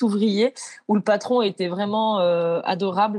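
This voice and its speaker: A woman speaks at a moderate pace with a medium pitch and ordinary pitch variation. The background is quiet. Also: dry, close sound with no echo. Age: 30s. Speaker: house painter and team leader. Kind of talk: interview. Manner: hesitant with frequent fillers.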